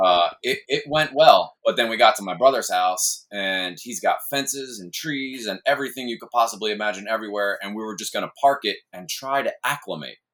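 Using a plain, everyday voice, a man speaks at a fairly quick pace with hardly any pauses, medium pitch, ordinary pitch variation and big swings in loudness. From New York, Hudson Valley. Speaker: full-time RV traveler, military background. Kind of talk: casual chat.

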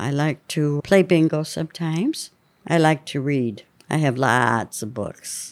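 A woman with a very deep, low pitch and a western Pennsylvania accent, fairly slow pace, ordinary pitch variation, very clean recording with a silent background. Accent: western Pennsylvania American. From rural northwestern Pennsylvania. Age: 80s+. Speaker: retiree and care home resident. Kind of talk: casual interview chat. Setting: care home, during a manicure.

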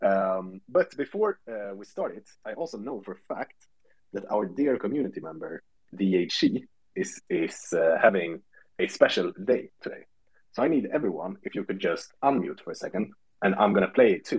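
Loudness swings greatly as a man talks at a moderate pace. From Sweden. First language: Swedish. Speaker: podcast host. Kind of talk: casual chat. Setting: Twitter space audio call.

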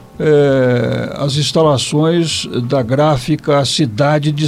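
Music in the background beneath a man's fairly high-pitched voice. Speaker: retired radio broadcaster. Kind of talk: interview. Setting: recorded internet radio show.

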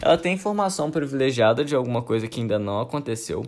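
With lively intonation, a man speaks in an unremarkable speaking voice at a fairly high pitch, on a very clean recording with a silent background. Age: 20s. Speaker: podcast host, AI student. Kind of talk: educational monologue. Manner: casual.

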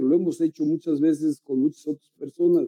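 A man with a Mexican accent has a dark, mellow tone and fairly even intonation in a dry, close sound with no echo. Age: 50s. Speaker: meditation guide. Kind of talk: casual chat. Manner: halting.

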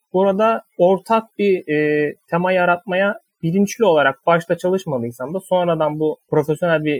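At a moderate pace, a man talks in a high voice. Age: 20s. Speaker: fiction writer. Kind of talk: interview. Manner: hesitant with fillers.

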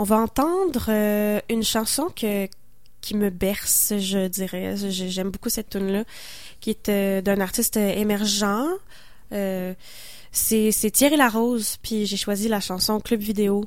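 A woman with a Quebec accent at a very slow pace, medium pitch and fairly even intonation. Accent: Québécois French. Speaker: singer-songwriter. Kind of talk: casual interview on radio.

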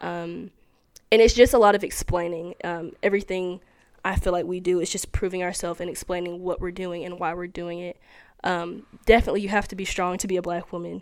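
A woman speaks with a Tennessee accent at a fairly quick pace, in a monotone, flat intonation with big swings in loudness. The recording is very clean, with a silent background. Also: fairly low pitch for a woman. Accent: Southern US (Tennessee). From US South, Tennessee. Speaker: college student. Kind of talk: casual interview. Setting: indoor room on campus.

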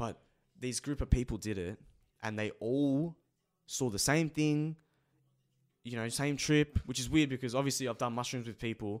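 A man with an Australian accent talks at a moderate pace. He leaves long pauses, and often. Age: 20s. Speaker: youtuber, podcast host. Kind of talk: casual chat.

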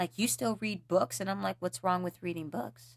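The recording is very clean, and the background is silent. A woman talks with a somewhat breathy voice. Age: 20s. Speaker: podcast host. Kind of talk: casual solo talk on mindfulness. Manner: casual, conversational.

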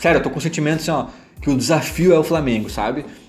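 A man talks at a very fast pace with ordinary pitch variation. Music plays in the background, and the room echo is audible. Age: 30s. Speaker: football podcaster. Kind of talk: casual football commentary monologue.

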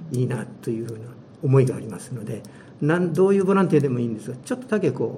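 There is audible room echo as a man talks at a very fast pace. His intonation is lively, and his loudness swings widely. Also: medium pitch for a man. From Hiroshima, Japan. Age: 70s. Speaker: retired volunteer tour guide. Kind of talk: interview.

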